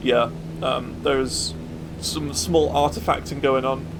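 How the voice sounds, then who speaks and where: A man's pitch swings very widely as he talks at a moderate pace amid noticeable background noise. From Birmingham, England. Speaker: gaming streamer. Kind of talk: casual gameplay commentary.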